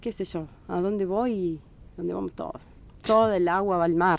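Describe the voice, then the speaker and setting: Moderately paced speech from a woman, pitched fairly low. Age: 40s. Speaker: Bach flower therapist. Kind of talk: podcast interview. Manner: halting.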